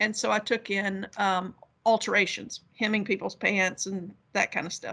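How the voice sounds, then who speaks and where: There is a bright, sharp tone to this woman's voice with a West Virginia accent. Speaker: academic. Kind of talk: panel discussion.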